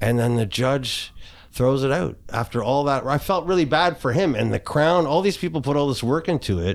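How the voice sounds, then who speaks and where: In a plain, everyday voice, a man speaks at a moderate pace with fairly high pitch and lively intonation on a very clean recording with a silent background. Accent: Canadian. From Kitchener, Ontario, Canada. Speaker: abuse survivor and hockey coach. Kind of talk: candid interview.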